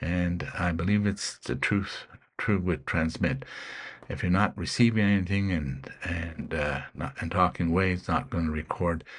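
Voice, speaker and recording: Vocal fry at a moderate pace, with ordinary pitch variation and a quiet background. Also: man. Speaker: ham radio hobbyist youtuber. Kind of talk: tutorial. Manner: halting, many fillers.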